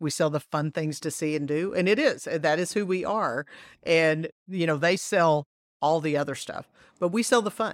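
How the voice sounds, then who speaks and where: A woman with an ordinary speaking voice talks at a moderate pace and a fairly low pitch, with ordinary pitch variation and a dry, close sound with no echo. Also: very clean recording, silent background. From Texas. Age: 50s. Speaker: tourism marketing executive. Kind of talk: casual interview.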